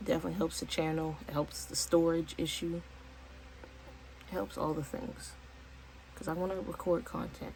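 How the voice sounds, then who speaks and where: There is noticeable background noise behind a woman speaking at a moderate pace. She leaves long, frequent pauses. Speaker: vlogger and home baker. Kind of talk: casual vlog monologue.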